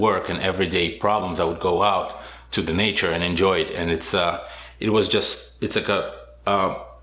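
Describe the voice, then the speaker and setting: A man with a bright, sharp tone and a fairly low pitch speaks at a moderate pace in a flat monotone, with audible room echo. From Israel. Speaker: motorcycle rally racer. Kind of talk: interview. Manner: hesitant, many fillers.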